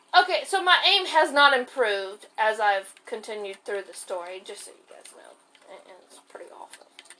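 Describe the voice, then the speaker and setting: Over noticeable background noise, a woman with a fairly high pitch talks at a moderate pace, her pitch swinging very widely and her loudness rising and falling sharply. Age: 20s. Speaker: gaming podcaster. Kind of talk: casual gameplay chat.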